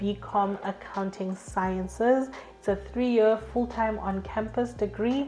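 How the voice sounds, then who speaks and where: With music in the background, the speaker keeps a moderate pace and fairly even intonation. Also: woman. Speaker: education YouTuber. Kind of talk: informational talk to camera.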